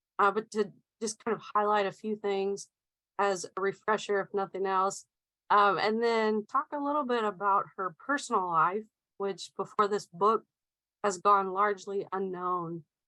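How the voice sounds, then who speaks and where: Speaking at a moderate pace in an American accent, a woman uses a medium pitch, fairly even intonation and a bright, sharp tone, recorded in a dry, close sound with no echo. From US South, Middle Tennessee. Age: 30s. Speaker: author and researcher. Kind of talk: presentation talk. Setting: video call.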